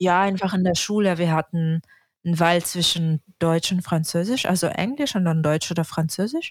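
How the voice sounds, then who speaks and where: On a very clean recording with a silent background, a woman speaks at a moderate pace with fairly low pitch, ordinary pitch variation and very even loudness. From Yakutsk, Russia. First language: Russian (speaking German). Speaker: urban planning student. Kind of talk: interview. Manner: halting.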